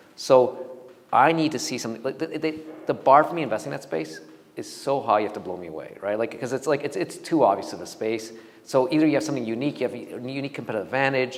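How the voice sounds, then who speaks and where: Speech at a very fast pace swings widely in loudness over noticeable background noise. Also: man, medium pitch for a man. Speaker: venture capital investor. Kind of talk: talk with Q&A to audience. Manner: halting with many restarts.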